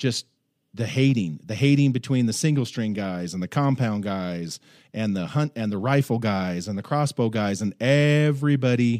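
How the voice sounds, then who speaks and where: A plain, everyday voice with an American accent, lively intonation and a moderate pace, on a very clean recording with a silent background and a dry, close sound with no echo. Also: man. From US West Coast. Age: 40s. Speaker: archery industry veteran. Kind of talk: casual chat.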